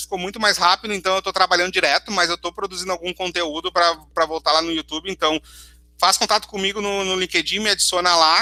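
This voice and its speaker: A man projects a raised voice at a very fast pace, high in pitch with fairly even intonation. The recording is very clean and silent behind him, dry and close with no echo. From southern Brazil, Porto Alegre region. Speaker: cloud solutions architect giving a tech talk. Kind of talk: conference talk with live demo.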